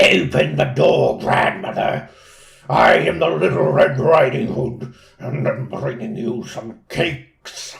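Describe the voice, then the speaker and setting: Put-on character voice from a man, fairly slow and medium in pitch. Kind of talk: different voice from earlier wolf. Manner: evil, sly.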